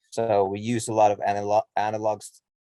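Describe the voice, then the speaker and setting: Dark and mellow in tone, the voice carries a Norwegian accent, with a dry, close sound with no echo, in a very clean recording with a silent background. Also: man. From Norway. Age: 40s. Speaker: musician. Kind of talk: interview. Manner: halting, many repetitions and fillers.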